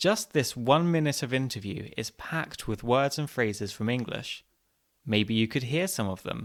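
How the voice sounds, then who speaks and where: Lively intonation and a moderate pace mark an ordinary speaking voice on a very clean recording with a silent background. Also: man, medium pitch for a man. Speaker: podcast host.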